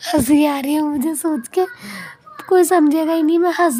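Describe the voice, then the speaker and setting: A strained, monotone, flat delivery at a fairly slow pace, with noticeable background noise. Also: woman. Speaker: family vlogger. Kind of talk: vlog voice-over narration. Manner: strained, forcing voice out.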